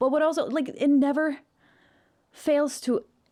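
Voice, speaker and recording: An animated voice with a Norwegian accent moves at a fairly slow pace on a very clean recording with a silent background. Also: woman. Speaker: vocal coach / music reaction youtuber. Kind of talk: reaction commentary. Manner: animated, casual with many fillers.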